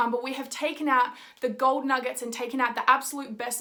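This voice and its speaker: Raising and projecting her voice, a woman with an Australian accent speaks at a high pitch in a bright, sharp tone. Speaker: podcast host, mindset coach. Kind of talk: video intro to camera; podcast interview.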